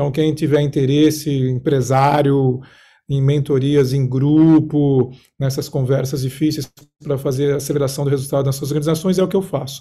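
In a dark, mellow tone, a man with a fairly high pitch sounds somewhat breathy, his intonation monotone and flat. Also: moderate pace. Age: 40s. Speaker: executive mentor and coach. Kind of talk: casual chat.

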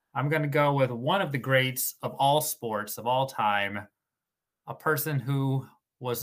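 The recording is very clean, with a silent background. A man speaks with a bright, sharp tone at medium pitch and ordinary pitch variation. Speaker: podcast guest. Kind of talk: casual chat.

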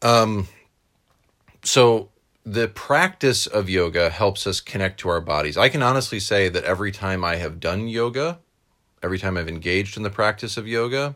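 A man speaks with an American accent and a bright, sharp tone. His pitch varies in an ordinary way. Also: very clean recording, silent background. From New York. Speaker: podcast host and chaplain. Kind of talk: casual interview.

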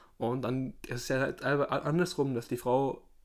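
This man has a plain, everyday voice at a medium pitch. His intonation is fairly even. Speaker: podcast host. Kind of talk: casual chat.

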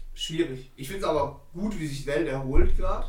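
With audible room echo around him, the man talks at a fairly slow pace. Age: 20s. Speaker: podcast co-host, plastics technologist. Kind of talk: casual chat.

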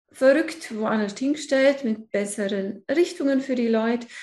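This woman's voice is fairly high in pitch. She keeps a moderate pace with ordinary pitch variation. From Allgäu, Bavaria, southern Germany. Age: 50s. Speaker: feng shui consultant. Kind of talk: casual interview chat.

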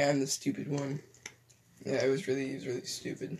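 Vocal fry runs through this man's voice. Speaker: podcast co-host. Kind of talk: casual chat. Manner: halting.

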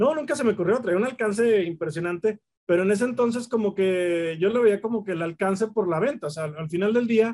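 This man talks at a fairly quick pace. His pitch is high for a man. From Mexico, Torreón. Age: 40s. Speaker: collectibles shop owner. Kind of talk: casual chat. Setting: in his shop.

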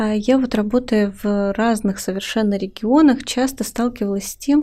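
Her tone dark and mellow, a woman speaks at a fairly high pitch and a moderate pace, with ordinary pitch variation. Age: 20s. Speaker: podcast host. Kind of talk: interview. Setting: studio.

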